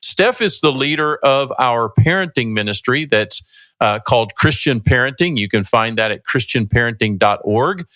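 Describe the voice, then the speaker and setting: This man's tone is bright and sharp, his pitch medium and his intonation lively. He talks at a moderate pace in a very clean recording with a silent background. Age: 60s. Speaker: podcast host, ministry executive director. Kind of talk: podcast conversation.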